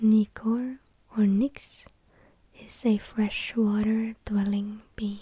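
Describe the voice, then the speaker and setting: The speaker is soft-spoken. The words come at a very slow pace. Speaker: ASMR creator. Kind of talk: ASMR folklore reading. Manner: soft-spoken, slow.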